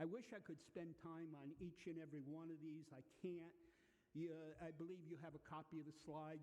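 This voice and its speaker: Audible room echo surrounds a man's fairly high-pitched voice. His tone is dark and mellow, his intonation monotone and flat. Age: 70s. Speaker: physician and lipid lecturer. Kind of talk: lecture. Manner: casual, hesitant with frequent fillers.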